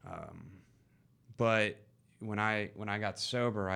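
A man with an American accent speaks fairly slowly at a fairly low pitch. His tone is bright and sharp, and the recording is very clean with a silent background. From US South, Georgia (East Cobb). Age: 20s. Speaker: person in addiction recovery. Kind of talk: casual chat. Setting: studio.

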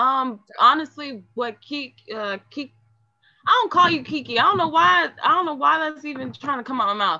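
A woman speaks at a moderate pace in a high, raised and projected voice, her pitch swinging very widely and her loudness shifting a lot. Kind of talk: casual group discussion.

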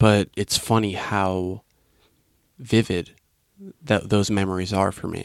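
Pausing long and often, a man speaks at a very slow pace with a fairly low pitch and fairly even intonation, the sound dry and close with no echo. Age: 20s. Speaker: podcast host. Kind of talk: casual chat. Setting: studio.

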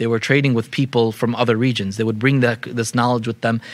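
The recording is very clean and the background silent. It carries a normal speaking voice with fairly even intonation. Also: man. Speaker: Islamic teacher. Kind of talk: lecture. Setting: room with live audience. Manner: frequent fillers and repetitions.

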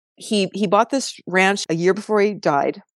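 A woman's voice at a moderate pace with ordinary pitch variation, in a dry, close sound without echo. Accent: Californian. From US West Coast, San Diego. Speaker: photographer. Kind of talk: interview conversation. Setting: podcast studio.

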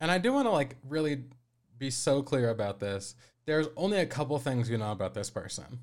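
Here is a man with an unremarkable speaking voice and an American accent, medium in pitch, talking at a fairly quick pace with lively intonation. The recording is very clean, with a silent background. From Colorado. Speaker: podcast producer and co-host. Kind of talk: casual chat.

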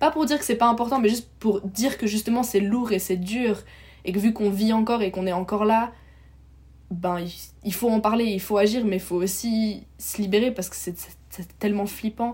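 A somewhat breathy woman speaks at a moderate pace with long, frequent pauses. Her pitch is fairly high and her intonation fairly even. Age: 20s. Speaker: medical student and climate activist. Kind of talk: casual interview.

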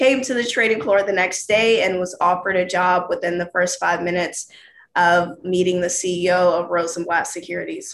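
A woman talks at a moderate pace with an American accent, in an ordinary speaking voice. Her pitch is medium and her intonation fairly even. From US South, Georgia. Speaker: former floor trader and podcast host. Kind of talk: casual interview. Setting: video call.

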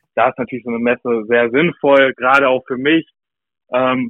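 An ordinary speaking voice at a moderate pace, with fairly even intonation, comes through here. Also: man. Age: 20s. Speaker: customer account manager. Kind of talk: casual chat. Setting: remote call.

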